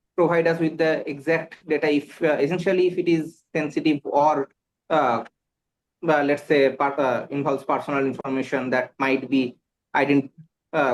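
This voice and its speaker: Speaking with a Bengali accent, a man uses fairly even intonation and a fairly high pitch at a moderate pace. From India, West Bengal. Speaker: exam candidate. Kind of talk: mock job interview. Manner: halting, many fillers.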